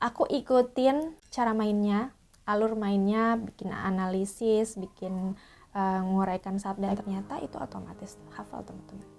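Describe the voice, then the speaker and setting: In a very clean recording with a silent background, a woman speaks at a moderate pace with ordinary pitch variation and big swings in loudness. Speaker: theatre actor. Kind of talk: tutorial. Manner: casual, hesitant with fillers.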